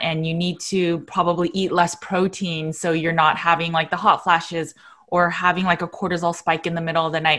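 Against a quiet background, a woman speaks at a fairly quick pace, her fairly low voice bright and sharp in tone. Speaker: nutritional therapy practitioner; interviewer, nutrition host. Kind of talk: interview host questions. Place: home room. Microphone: video call.

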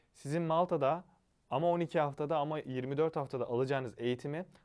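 Against a quiet background, a man with a normal speaking voice talks at a fairly quick pace, his fairly high pitch held in fairly even intonation. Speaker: study-abroad education consultant. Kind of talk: informational monologue.

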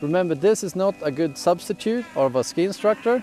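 Clear music plays behind a man who speaks at a moderate pace. The sound is dry, with no echo. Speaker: ski instructor. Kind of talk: tutorial. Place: open country.

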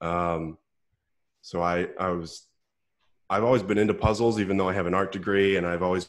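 Speech at a moderate pace with fairly even intonation plays over a quiet background. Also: man. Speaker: guest. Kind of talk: interview answer. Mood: relaxed, amused. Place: home room. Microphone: earbuds.

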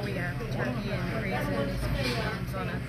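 Speech moves at a fairly slow pace over loud background noise. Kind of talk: interview answer. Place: cafe. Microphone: phone near.

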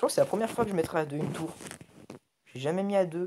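This man speaks at a high pitch. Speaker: gaming youtuber. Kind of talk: casual gameplay commentary. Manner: halting.

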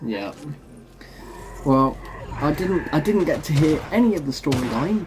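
A man with a fairly high pitch and lively intonation, at a fairly slow pace over faint background noise.

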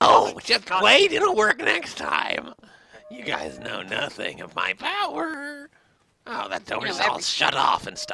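Slipping into a put-on character voice, a man talks at an extremely high pitch and a fairly slow pace. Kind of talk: comic overacting. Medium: game stream. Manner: menacing, playful, unhinged.

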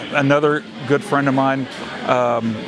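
Here a man is speaking. The sound is dry with no echo, and music plays in the background. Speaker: guest. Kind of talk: interview answer. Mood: cheerful storytelling, laughing. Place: hall. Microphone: handheld.

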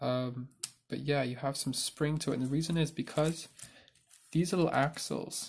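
Somewhat breathy male voice at a moderate pace. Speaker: Lego builder. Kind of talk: casual explanation to camera.

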